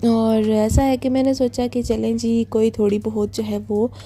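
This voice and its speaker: A woman's moderate-paced speech is heard against noticeable background noise. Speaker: cleaning vlogger, housewife and beautician. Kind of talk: vlog voice-over. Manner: halting, many fillers.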